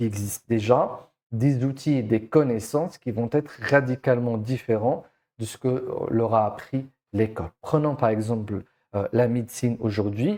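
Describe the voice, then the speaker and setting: With a non-native accent, a man speaks at a moderate pace in a dark, mellow tone, his pitch medium with ordinary variation, on a very clean recording with a silent background. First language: not French (speaking French). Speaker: education coach. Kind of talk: educational monologue. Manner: hesitant, many fillers.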